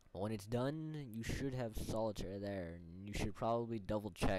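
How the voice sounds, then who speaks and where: Here a man speaks at a moderate pace. His fairly low voice carries lively intonation. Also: hardly any pauses. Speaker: video game tutorial maker. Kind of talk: casual screen-recording tutorial. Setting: headset microphone. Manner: hesitant, rambling.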